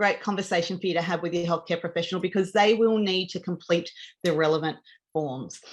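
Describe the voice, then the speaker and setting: Against a quiet background, a woman with an Australian accent speaks with ordinary pitch variation. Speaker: diabetes advocate presenter. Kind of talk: informational talk to camera. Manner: fast.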